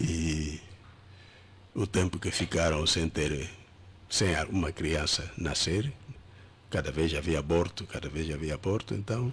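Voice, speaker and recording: With vocal fry, a man talks at a fairly slow pace in a very deep, low pitch with ordinary pitch variation. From Angola. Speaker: pastor. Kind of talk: interview. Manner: halting.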